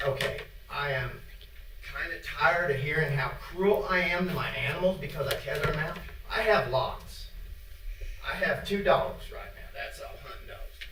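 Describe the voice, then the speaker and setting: Over noticeable background noise and audible room echo, a man with an American accent speaks at a moderate pace, his loudness swinging widely. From Indiana. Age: 70s. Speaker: public commenter, dog hunter. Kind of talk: public comment at a meeting. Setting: county board meeting room. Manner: casual, plainspoken.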